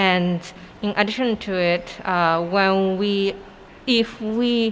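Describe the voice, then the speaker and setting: A woman speaks with a Japanese accent and fairly even intonation. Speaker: artist. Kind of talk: casual interview.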